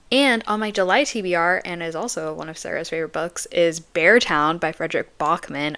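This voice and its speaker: A woman speaks with a bright, sharp tone, fairly low in pitch, and an animated delivery with ordinary pitch variation. She leaves hardly any pauses. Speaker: booktube vlogger. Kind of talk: casual vlog chat. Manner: fast.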